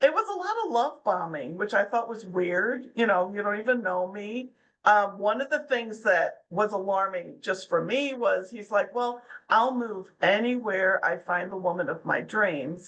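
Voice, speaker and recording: A woman with an ordinary speaking voice, lively intonation and a fairly slow pace. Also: medium pitch for a woman. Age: 60s. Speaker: anti-scam blogger. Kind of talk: interview. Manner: casual.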